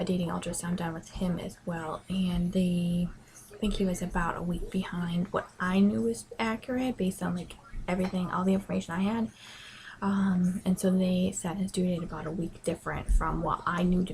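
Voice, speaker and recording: A quiet woman's voice of medium pitch, fairly quick, with ordinary pitch variation. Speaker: pregnancy vlogger. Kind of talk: casual vlog. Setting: bedroom at home. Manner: hesitant, many ums.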